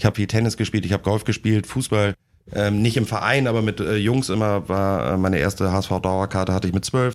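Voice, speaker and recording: The recording is very clean, with a silent background, as a man speaks at a fairly quick pace and fairly low pitch. His loudness stays very even and his intonation fairly even. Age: 30s. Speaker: deputy editor-in-chief of a sports desk. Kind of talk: casual interview. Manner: hesitant, many fillers.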